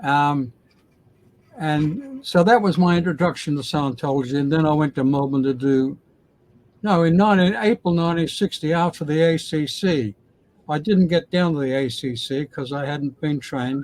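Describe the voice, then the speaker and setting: Against a quiet background, a man with an Australian accent speaks at a fairly high pitch and a moderate pace, with ordinary pitch variation. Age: 80s+. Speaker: former Scientologist. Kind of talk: interview answer.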